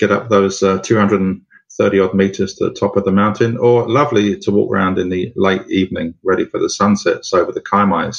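This man talks at a fairly quick pace with a London accent. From London, England. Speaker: tour operator and guide. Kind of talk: interview answers.

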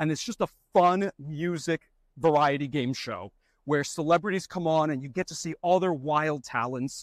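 An ordinary speaking voice in an American accent at a moderate pace, with ordinary pitch variation, a dry, close sound with no echo and a very clean recording over a silent background. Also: man, fairly high pitch for a man. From Florida, US. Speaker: television executive producer. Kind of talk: interview. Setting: outdoors on a studio back lot.

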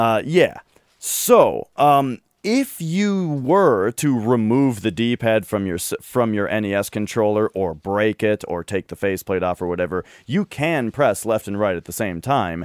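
A man's plain, everyday voice at medium pitch, fairly slow with lively intonation, in a dry, close sound with no echo and a very clean recording over a silent background. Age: 30s. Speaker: video game podcast co-host. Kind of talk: casual chat.

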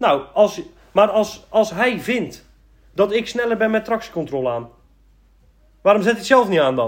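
The man's pitch is high and his intonation lively. He keeps a moderate pace with long, frequent pauses. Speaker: gaming podcast co-host. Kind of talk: casual chat.

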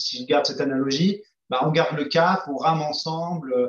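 This is a man speaking at a fairly high pitch. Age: 40s. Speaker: entrepreneur. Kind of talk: interview. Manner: halting, many hesitations.

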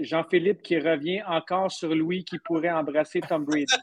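A man's high-pitched voice at a moderate pace. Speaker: podcast co-host. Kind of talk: casual chat.

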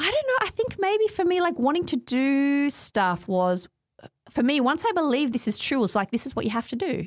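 A woman speaks at a moderate pace with a high pitch and an Australian accent. Her pitch swings very widely. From Australia, Melbourne eastern suburbs. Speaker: academic and author. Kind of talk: casual interview.

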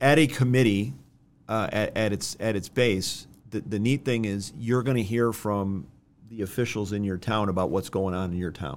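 A plain, everyday voice from a man with an American accent, fairly low in pitch, with ordinary pitch variation, a moderate pace and a very clean recording over a silent background. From Rochester, New York. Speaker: lawyer. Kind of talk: casual chat. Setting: studio.

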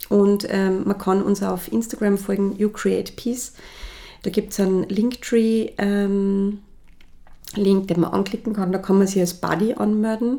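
A woman at medium pitch with a dark, mellow tone, monotone, flat intonation and a fairly slow pace, on a very clean recording with a silent background. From Austria, Salzburg. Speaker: cosmetics brand founder. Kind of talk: interview.

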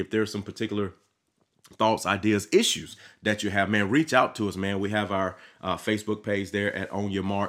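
A man with a Mississippi accent talks at a very fast pace and a fairly low pitch. The recording is very clean, with a silent background. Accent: Southern US, Mississippi. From Mississippi, US South. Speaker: pastor and podcast host. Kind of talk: podcast sermon monologue. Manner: animated, enthusiastic; casual with many fillers and repetitions.

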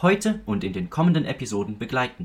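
The voice belongs to a man and is somewhat breathy. He talks at a fairly quick pace. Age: young. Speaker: student podcast co-host. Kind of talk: scripted narration.

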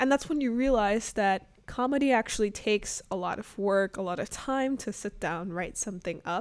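A woman at medium pitch and a moderate pace, with ordinary pitch variation, on a very clean recording with a silent background. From US South, Arkansas; also Chicago suburbs. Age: 20s. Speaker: amateur podcaster, recent college graduate. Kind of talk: casual monologue. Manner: hesitant, many fillers.

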